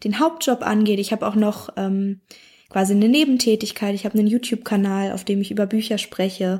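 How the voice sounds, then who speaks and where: A woman's fairly high, somewhat breathy voice with fairly even intonation, in a very clean recording with a silent background. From Berlin, Germany. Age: 30s. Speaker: club member sharing success story. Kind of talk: personal testimony.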